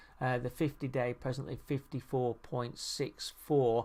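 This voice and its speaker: Very slowly and in a monotone, flat intonation, a man speaks at a medium pitch on a very clean recording with a silent background. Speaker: market analyst. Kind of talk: technical chart analysis tutorial. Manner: many fillers.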